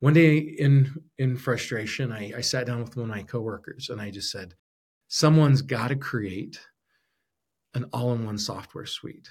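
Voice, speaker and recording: On a very clean recording with a silent background, a man with an American accent speaks somewhat breathily at a medium pitch and moderate pace, with ordinary pitch variation and big swings in loudness. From Arizona. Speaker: podcast host and entrepreneur. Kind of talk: solo podcast monologue. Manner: frequent fillers and repetitions.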